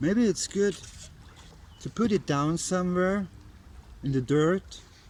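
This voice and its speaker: With an Austrian accent, the speaker talks at a fairly slow pace using lively intonation. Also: man. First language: German (Austrian dialect). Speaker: bushcraft vlogger. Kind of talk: casual outdoor vlog while crafting. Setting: outdoors by a river. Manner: halting, non-native phrasing.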